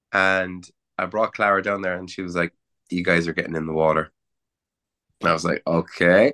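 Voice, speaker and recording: A man with a Cork accent and a very deep, low pitch talks at a fairly quick pace with long, frequent pauses and fairly even intonation. His tone is bright and sharp, and the sound is dry and close with no echo over a quiet background. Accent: Irish (Cork). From Cork, Ireland. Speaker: rock musician and songwriter. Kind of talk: casual interview chat.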